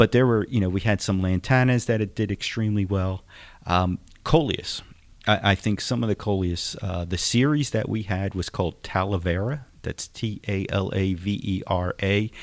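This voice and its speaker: A normal speaking voice from a man with an American accent, fairly low in pitch with ordinary pitch variation, at a moderate pace, in a very clean recording with a silent background. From Philadelphia, US. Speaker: extension horticulture specialist. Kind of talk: radio interview. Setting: studio.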